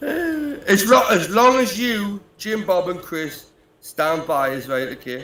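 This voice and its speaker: A man's bright, sharp tone in a strong British accent, very slow, with very wide pitch swings. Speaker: livestream caller. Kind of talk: casual banter.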